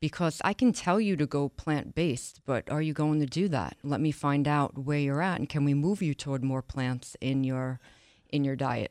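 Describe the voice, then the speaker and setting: In an American accent, a woman with a very deep, low pitch speaks at a moderate pace with ordinary pitch variation and very even loudness, in a dry, close sound with no echo against a quiet background. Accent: Boston-like New York. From Long Island, New York. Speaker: wellness coach. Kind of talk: casual interview chat.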